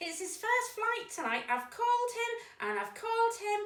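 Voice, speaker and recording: Her voice is a squeaky, put-on character voice pitched extremely high. The pace stays moderate. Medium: read story. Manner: hesitant, anxious.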